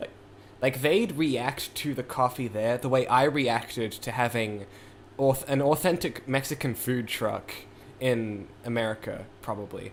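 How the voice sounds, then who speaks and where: With a New Zealand accent, a man of medium pitch talks at a fairly slow pace with ordinary pitch variation. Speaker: music producer streamer. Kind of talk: casual livestream chat. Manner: rambling, many fillers.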